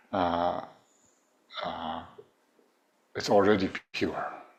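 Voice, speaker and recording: Very slow speech in a Tibetan accent. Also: man. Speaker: Buddhist teacher. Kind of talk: dharma teaching. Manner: halting, many fillers.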